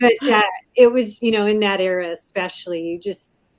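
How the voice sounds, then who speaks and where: A woman with an American accent speaks in a plain, everyday voice at medium pitch. Her pace is moderate, and her pitch variation is ordinary. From US Pacific Northwest, Puyallup, Washington. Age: 60s. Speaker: pilot and restaurant chef. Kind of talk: interview.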